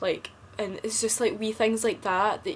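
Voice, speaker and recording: At a moderate pace, a woman speaks with a Scottish accent and a monotone, flat intonation. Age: 20s. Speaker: vlogger. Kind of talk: casual chat.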